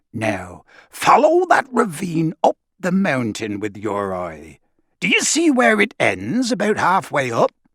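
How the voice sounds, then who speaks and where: A man puts on a high-pitched character voice and speaks at a fairly slow pace. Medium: read story. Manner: haughty, sarcastic.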